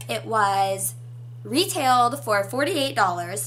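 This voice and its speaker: A woman of medium pitch speaking very slowly, with audible room echo. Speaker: beauty youtuber. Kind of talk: casual haul video. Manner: animated.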